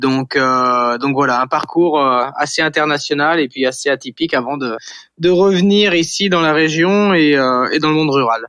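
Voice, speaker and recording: A man's fairly high voice with a bright, sharp tone, ordinary pitch variation, a moderate pace, very even loudness and a quiet background. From western France, Vendée coast. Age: 40s. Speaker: startup founder. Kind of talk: interview. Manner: hesitant, many fillers and repetitions.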